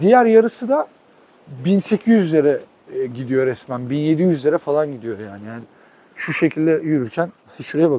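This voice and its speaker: The man's voice shows very wide pitch swings and big swings in loudness. He keeps a moderate pace with long, frequent pauses. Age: 30s. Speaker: travel vlogger. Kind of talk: casual travel vlog narration.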